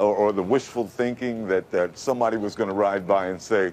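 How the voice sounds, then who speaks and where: The voice belongs to a man at a medium pitch. He has a normal speaking voice with ordinary pitch variation. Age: 50s. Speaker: radio announcer voice, formerly homeless. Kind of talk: interview answer. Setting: TV studio interview.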